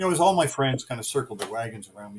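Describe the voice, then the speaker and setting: A man with a Canadian accent talks in a somewhat breathy voice. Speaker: guitar builder. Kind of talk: interview. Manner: halting.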